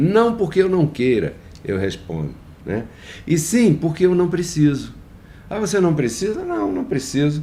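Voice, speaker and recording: His tone is dark and mellow, with very wide pitch swings. The man keeps a moderate pace. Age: 60s. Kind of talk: devotional talk. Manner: hesitant, repeats words.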